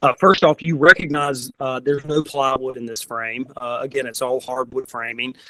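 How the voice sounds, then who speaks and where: At a moderate pace, a man talks with a bright, sharp tone, fairly high pitch, and ordinary pitch variation. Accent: Southern US. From US South. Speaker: furniture company representative. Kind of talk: presentation.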